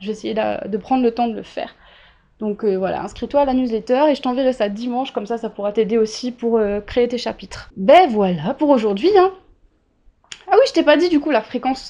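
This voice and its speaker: A woman with a dark, mellow tone, lively intonation and a fairly quick pace. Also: fairly high pitch for a woman. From Réunion island. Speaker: writer and podcast host. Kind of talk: casual solo audio diary.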